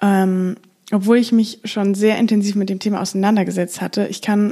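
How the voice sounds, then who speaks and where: This woman speaks at a medium pitch with monotone, flat intonation. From Germany, Frankfurt. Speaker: podcast host. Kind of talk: solo podcast monologue. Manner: casual with frequent fillers.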